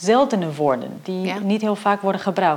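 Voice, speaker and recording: Through noticeable background noise, a woman speaks in a medium pitch with lively intonation. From Portugal. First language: Portuguese (speaking Dutch). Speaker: professor. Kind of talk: interview.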